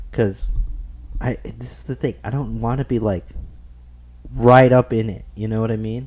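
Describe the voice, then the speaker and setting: A man talks with ordinary pitch variation, leaving long, frequent pauses. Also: medium pitch for a man, moderate pace. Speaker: gaming streamer. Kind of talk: casual gameplay commentary. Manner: casual, filler-heavy.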